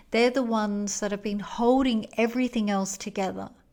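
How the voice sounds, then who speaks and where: On a very clean recording with a silent background, a woman speaks in a plain, everyday voice, fairly high-pitched with ordinary pitch variation. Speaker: podcast host, wellness coach. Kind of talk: explanatory wellness podcast monologue. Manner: calm, soothing, measured.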